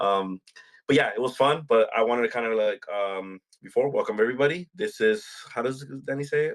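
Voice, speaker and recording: The voice moves at a fairly quick pace with ordinary pitch variation, and the sound is dry and close with no echo. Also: man, medium pitch for a man. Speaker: podcast host. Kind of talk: casual chat. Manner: loud, energetic.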